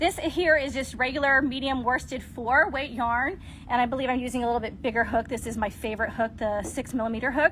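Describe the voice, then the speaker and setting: Over noticeable background noise, a woman talks at a very fast pace with hardly any pauses, her high pitch moving with ordinary pitch variation. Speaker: crochet content creator. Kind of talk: tutorial. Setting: livestream.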